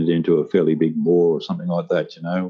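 A man's very deep, low voice in a monotone with flat intonation. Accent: Australian. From Australia, rural New South Wales. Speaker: retired police officer and martial arts teacher. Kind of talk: casual interview.

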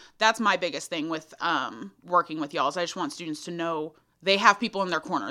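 Talking at a very fast pace, a woman with a Texan accent has a fairly low pitch. Her tone is bright and sharp. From Central Texas, small town near Austin. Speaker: college student affairs coordinator. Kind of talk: casual interview. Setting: mobile podcast studio.

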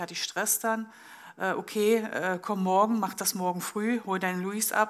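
With fairly even intonation, a woman talks at a medium pitch and a moderate pace. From East Germany. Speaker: business manager and lecturer. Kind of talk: public panel discussion. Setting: live event at an exhibition venue.

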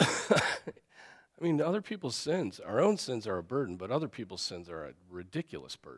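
A man's medium-pitched voice with vocal fry, very wide pitch swings, big swings in loudness, hardly any pauses and a moderate pace. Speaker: pastor teaching Sunday school. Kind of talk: Bible class teaching. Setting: church classroom. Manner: frequent fillers, clears throat.

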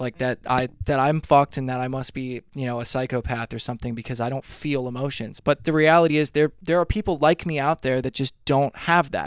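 A man with an unremarkable speaking voice talks at a medium pitch and a fairly quick pace, with hardly any pauses. His intonation is fairly even, in a dry, close sound with no echo. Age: 30s. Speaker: musician. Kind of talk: casual chat.

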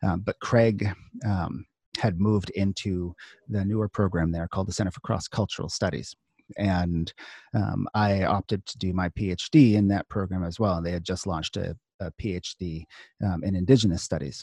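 With an American accent, a man speaks at a moderate pace in a very deep, low pitch and a dark, mellow tone, his intonation fairly even, on a very clean recording with a silent background and a dry, close sound with no echo. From US Northeast, coastal Maine. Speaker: professor. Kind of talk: interview. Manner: halting.

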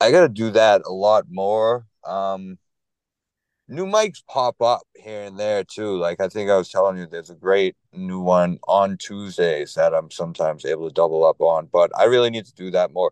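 A man with a Boston accent speaks at a moderate pace, his loudness swinging widely. The sound is dry and close with no echo, over a quiet background. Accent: Boston-area. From Lowell, Massachusetts. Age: 30s. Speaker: stand-up comedian. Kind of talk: casual chat. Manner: low-energy, somewhat monotone.

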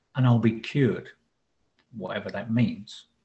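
The man's voice is medium in pitch and somewhat breathy. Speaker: husband, co-presenter. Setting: video call.

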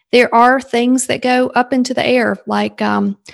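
Against a quiet background, a woman with a Southern US accent talks at a moderate pace in a fairly high voice. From South Carolina, US South. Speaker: leadership coach and sales consultant. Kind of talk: casual interview chat.

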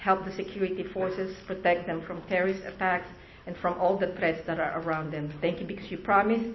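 Talking at a fairly quick pace, a woman speaks at a medium pitch. Noticeable background noise runs underneath. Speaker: congregation member giving announcements. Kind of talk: announcements and prayer. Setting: congregation worship service.

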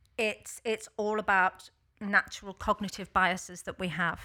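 A loud woman at a medium pitch speaks at a fairly slow pace in a flat monotone. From Liverpool, England. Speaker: workplace consultant. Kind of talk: casual chat. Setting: studio.

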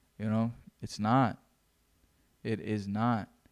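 A man with a medium-pitched voice and fairly even intonation is heard on a very clean recording with a silent background. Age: 20s. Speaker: podcast host. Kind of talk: solo podcast monologue.

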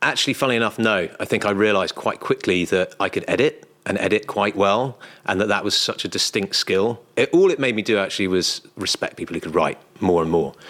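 Speaking fairly quickly, a man talks with a British accent. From UK. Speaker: literary agent. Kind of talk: interview conversation. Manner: halting with frequent repetitions.

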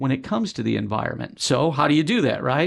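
A man with a fairly high pitch and lively intonation speaks in an ordinary speaking voice. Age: 60s. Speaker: TV meteorologist. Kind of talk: casual interview.

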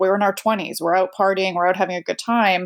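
Recorded very cleanly against a silent background, a woman with an unremarkable speaking voice talks at a medium pitch with fairly even intonation. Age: 40s. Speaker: recovery guest sharing drinking story. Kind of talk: interview testimony.

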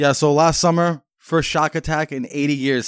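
A man's fairly high voice at a moderate pace, dry and close with no echo, on a very clean recording with a silent background. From Massachusetts, New England. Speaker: podcast host. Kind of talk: casual banter, comedic podcast chat.

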